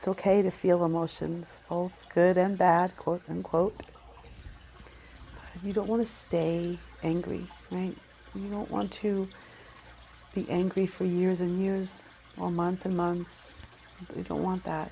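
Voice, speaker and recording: A soft-spoken woman with an American accent, fairly low in pitch, calm in tone, flat and monotone, at a fairly slow pace with long, frequent pauses. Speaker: Reiki practitioner. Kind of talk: guided Reiki meditation. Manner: soft-spoken, calm, slow.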